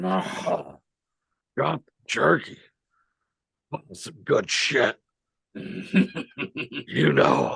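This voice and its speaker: A man's put-on character voice, very slow, broken by long, frequent pauses. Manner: put-on, exaggerated.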